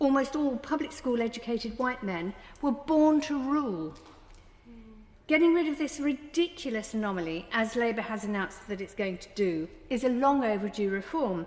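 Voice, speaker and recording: With a southern English accent, a woman speaks at a high pitch and a moderate pace. Her pitch swings very widely. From southern England, Brighton. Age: 70s. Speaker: politician. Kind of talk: parliamentary speech. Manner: formal.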